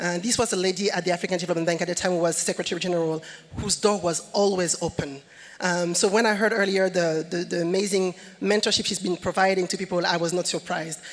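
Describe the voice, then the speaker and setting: Over noticeable background noise, a woman speaks at a very fast pace with a medium pitch. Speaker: company executive, panelist. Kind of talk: conference panel talk. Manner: hesitant, many fillers.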